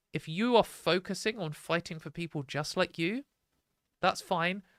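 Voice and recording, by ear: At a fairly slow pace, a woman speaks with a fairly low pitch and ordinary pitch variation in a dry, close sound with no echo.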